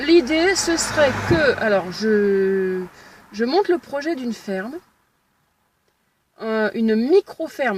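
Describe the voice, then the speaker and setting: A woman at a very slow pace with very wide pitch swings. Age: 30s. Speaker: aspiring farmer vlogger. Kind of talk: casual vlog. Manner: halting.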